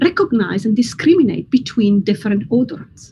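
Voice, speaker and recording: With an Italian accent, a woman speaks at a high pitch with very wide pitch swings and a dark, mellow tone. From Italy. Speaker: neuroscientist. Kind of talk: science explainer for kids. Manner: scripted, clear.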